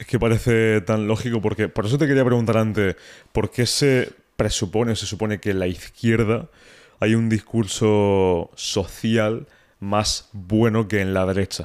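This man has an unremarkable speaking voice, fairly low in pitch, with fairly even intonation and a fairly slow pace. The recording is very clean, with a silent background. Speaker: podcast host. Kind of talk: casual interview. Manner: casual.

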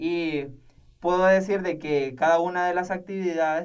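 With a Nicaraguan accent, a man speaks fairly slowly in a room with audible echo. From Nicaragua, Matagalpa. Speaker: seminarian. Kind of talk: interview testimony.

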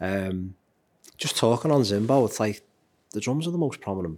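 Speaking at a moderate pace and a medium pitch, a man makes very wide pitch swings and takes long, frequent pauses. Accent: Liverpool. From Liverpool, England. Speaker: drummer and music teacher. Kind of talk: interview. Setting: studio.

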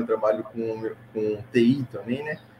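A man's voice over noticeable background noise. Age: 20s. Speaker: digital ads manager. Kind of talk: casual interview.

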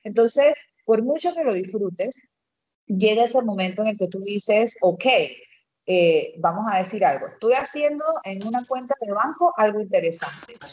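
An ordinary speaking voice from a woman, moderately paced and lively in intonation. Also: fairly high pitch for a woman. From Panama, Los Santos province. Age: 30s. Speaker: marketing specialist and entrepreneur. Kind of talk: interview testimony.

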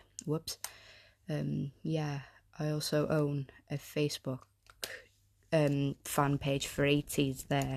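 A woman talks very slowly in a very deep, low voice with flat, monotone intonation and long, frequent pauses. The background is quiet. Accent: North Welsh. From North Wales. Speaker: podcast host. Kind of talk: casual solo talk. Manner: halting, many fillers.

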